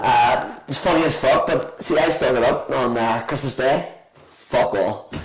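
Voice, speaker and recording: With a Belfast accent and an animated tone, a man speaks at a moderate pace amid noticeable background noise and audible room echo. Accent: Belfast Northern Irish. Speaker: restaurant owner. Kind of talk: casual chat.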